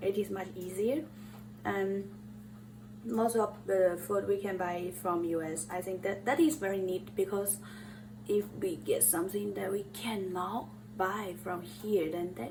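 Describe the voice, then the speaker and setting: Speaking in a Chinese accent at a fairly slow pace, a woman lets her pitch swing very widely, with audible room echo around her. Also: medium pitch for a woman. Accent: non-native English accent, Chinese. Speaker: cooking vlogger. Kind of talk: cooking tutorial. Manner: halting, with fillers.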